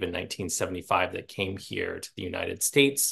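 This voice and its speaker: A man with an American accent talks, and the background is quiet. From central Pennsylvania. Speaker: author and Latin teacher; Latin teacher. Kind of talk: book talk. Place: home room. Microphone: earbuds.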